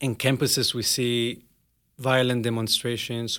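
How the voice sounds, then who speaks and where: A man's medium-pitched, bright, sharp voice with an Israeli accent, fairly slow, in a monotone, flat intonation. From Israel, near Nazareth. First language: Hebrew. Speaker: cultural emissary. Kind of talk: interview. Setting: studio.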